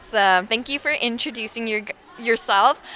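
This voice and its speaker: A woman's fairly high voice with ordinary pitch variation, over noticeable background noise. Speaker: event interviewer. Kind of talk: casual interview. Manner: stuttering at times.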